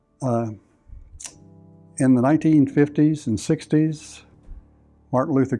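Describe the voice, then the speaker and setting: A man with a Texan accent speaks at a moderate pace with fairly even intonation. Music plays in the background. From US South, Victoria, Texas. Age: 70s. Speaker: church member. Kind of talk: testimony. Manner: halting.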